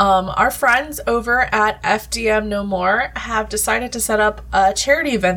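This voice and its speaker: A woman talks fairly slowly. Noticeable noise runs in the background. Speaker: game master of a tabletop roleplaying podcast. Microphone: more echoey than usual.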